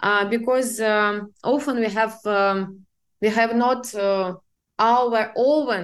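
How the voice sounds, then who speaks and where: The speaker has a Russian accent and talks at a very slow pace with ordinary pitch variation against a quiet background. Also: woman. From Siberia, Russia. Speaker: business assistant. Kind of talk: interview. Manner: halting.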